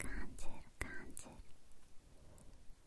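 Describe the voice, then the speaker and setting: A soft-spoken woman whispers at a very slow pace. The sound is dry with no echo, over light background noise. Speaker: ASMR creator. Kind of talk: ASMR whispered repetition. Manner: soft ASMR whisper, repeated trigger words. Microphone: studio mic.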